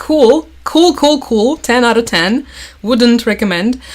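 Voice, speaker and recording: A woman talks with a Russian accent. Her intonation is lively. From Crimea, southern Ukraine. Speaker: political news commentator. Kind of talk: livestream commentary. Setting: livestream. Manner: casual, filler-heavy.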